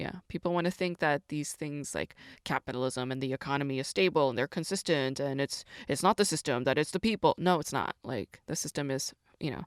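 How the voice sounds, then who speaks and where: A woman's very deep, low voice, fairly quick with ordinary pitch variation, on a very clean recording with a silent background and a dry, close sound with no echo. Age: 40s. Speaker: podcast host discussing Korean dramas. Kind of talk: casual monologue.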